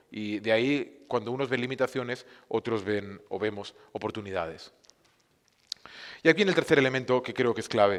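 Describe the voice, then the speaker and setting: Pausing long and often, a man talks at medium pitch with ordinary pitch variation. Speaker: film streaming platform cofounder, speaker. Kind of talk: conference talk. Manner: fast; hesitant, many fillers and restarts.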